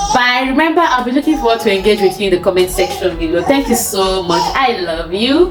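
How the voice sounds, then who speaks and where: A loud woman with a Nigerian accent, fairly high-pitched with very wide pitch swings, at a fairly quick pace with hardly any pauses, over noticeable background noise. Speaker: lifestyle vlogger. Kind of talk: casual vlog advice talk.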